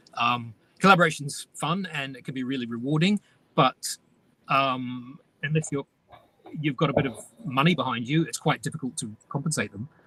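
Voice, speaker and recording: A man speaks at a moderate pace with a fairly high pitch and a bright, sharp tone. His pitch varies in an ordinary way, his loudness swings widely, long pauses come often, and the sound is dry and close with no echo. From New Zealand, North Island. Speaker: comics writer and artist. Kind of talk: interview.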